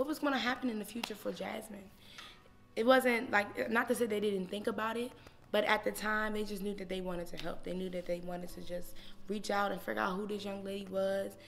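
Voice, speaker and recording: A woman's medium-pitched voice with an American accent, fairly quick, with music in the background. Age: 20s. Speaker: elementary school teacher and singer. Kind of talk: personal testimony interview. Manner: loud; energetic, animated.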